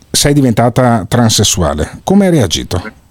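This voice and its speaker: A somewhat breathy male voice. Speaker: radio host. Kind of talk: casual chat. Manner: animated.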